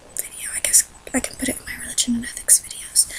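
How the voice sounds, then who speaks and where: There is noticeable background noise as a woman speaks in a whisper. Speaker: vlogger. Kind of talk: personal vlog. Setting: dark room at night, home. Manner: whispering, quiet; hesitant, many fillers.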